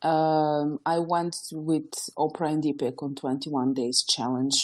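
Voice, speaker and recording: A woman talks in a very deep, low pitch while the background stays quiet. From former Yugoslavia. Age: 20s. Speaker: entrepreneur and author. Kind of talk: podcast interview.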